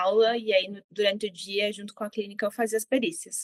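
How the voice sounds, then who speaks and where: The speaker has a southern Brazilian accent, recorded with a dry, close sound and no echo. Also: woman. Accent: southern Brazilian accent, kept. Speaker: psychologist. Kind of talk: interview.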